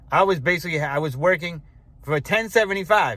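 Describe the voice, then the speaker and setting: With ordinary pitch variation, a man speaks at a fairly quick pace. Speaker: retiree vlogger. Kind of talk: casual vlog. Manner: fast; halting, many fillers.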